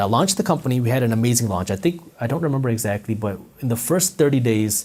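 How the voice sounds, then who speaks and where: In a very clean recording with a silent background, a somewhat breathy voice races along at a very fast pace with lively intonation and hardly any pauses. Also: man. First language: not English. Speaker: entrepreneur and finance content creator. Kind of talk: interview storytelling. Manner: animated.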